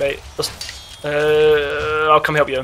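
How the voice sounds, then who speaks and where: Noticeable background noise fills the clip. A man talks over it at a fairly high pitch. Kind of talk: casual gaming commentary.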